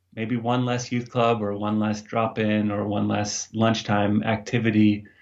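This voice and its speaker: A man with an American accent speaks at a medium pitch in a monotone, flat way. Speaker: youth ministry director. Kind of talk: interview. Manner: hesitant, with fillers.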